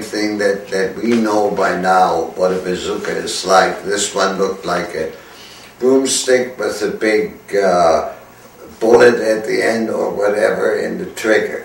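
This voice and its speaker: With a German accent, a man speaks at a fairly slow pace amid noticeable background noise and audible room echo. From Germany. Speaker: war veteran. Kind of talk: testimony. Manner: halting.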